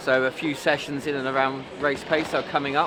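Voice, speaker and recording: A man's fairly high pitch and monotone, flat intonation at a fairly quick pace, with noticeable background noise and audible room echo. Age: 50s. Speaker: running coach. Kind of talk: interview.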